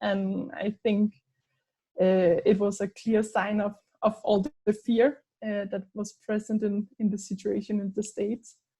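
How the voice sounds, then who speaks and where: A woman speaks at a medium pitch with a dark, mellow tone, somewhat breathy and at a fairly slow pace, her intonation monotone and flat, with a Danish accent. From Denmark. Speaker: anthropologist. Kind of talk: casual conversation. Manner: hesitant, many fillers.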